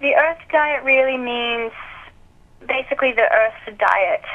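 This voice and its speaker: A woman with an Australian accent speaks, her pitch shifting in ordinary ways. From Australia (Alice Springs, outback). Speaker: diet author and founder. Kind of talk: interview.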